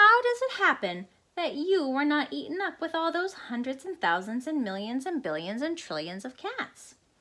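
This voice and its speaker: A put-on character voice from a woman, high-pitched, with very wide pitch swings at a moderate pace. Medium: read story.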